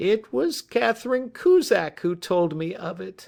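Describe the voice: A put-on character voice from a man, high-pitched with very wide pitch swings, at a fairly slow pace.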